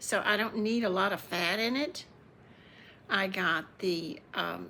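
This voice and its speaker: A woman's bright, sharp, medium-pitched voice with vocal fry, ordinary pitch variation, very even loudness and a very slow pace. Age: 70s. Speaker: cooking vlogger. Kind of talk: casual chat. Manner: halting.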